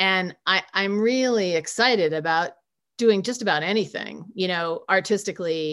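Here is a woman with a plain, everyday voice, speaking at a moderate pace in a medium pitch. Her pitch variation is ordinary, and the background is quiet. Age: 50s. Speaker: author. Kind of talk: reading aloud; casual chat.

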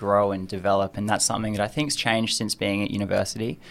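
The speaker has an Australian accent and fairly even intonation. The recording is very clean, with a silent background. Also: man. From Australia, Adelaide. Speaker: university student. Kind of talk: interview.

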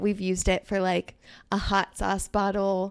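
In a plain, everyday voice with an American accent, a woman speaks at a moderate pace and medium pitch on a very clean recording with a silent background. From Germany (American parents), then Virginia. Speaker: event coordinator. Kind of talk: casual chat.

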